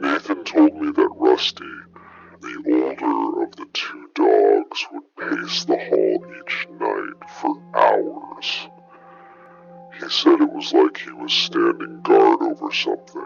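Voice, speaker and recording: A man's put-on character voice at an extremely high pitch, delivered at a fairly slow pace over faint background music. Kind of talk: horror narration. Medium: read story. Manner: measured, ominous, conversational asides.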